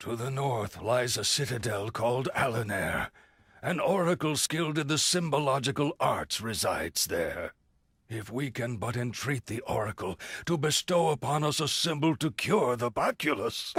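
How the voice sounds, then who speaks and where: In a put-on character voice, a man talks at a medium pitch with lively intonation. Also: moderate pace. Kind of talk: video game cutscene dub. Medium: short film. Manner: formal, archaic wording.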